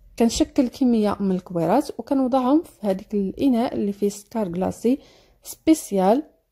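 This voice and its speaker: A woman with a Moroccan accent speaks at a moderate pace and a fairly high pitch, with lively intonation and big swings in loudness. Her tone is dark and mellow and somewhat breathy. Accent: Moroccan Darija. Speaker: cooking video creator. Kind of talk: cooking tutorial.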